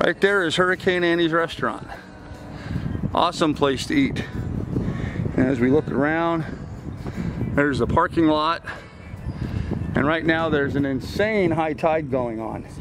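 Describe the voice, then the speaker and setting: Over noticeable background noise, a man speaks at a moderate pace with ordinary pitch variation and long, frequent pauses, in a dry sound with no echo. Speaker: sailing vlogger. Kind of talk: casual vlog chat. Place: boat. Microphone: phone near.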